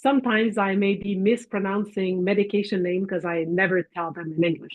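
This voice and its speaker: Speaking at a moderate pace and medium pitch, a woman talks with a French Canadian accent. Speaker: physician and professor. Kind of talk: lecture presentation.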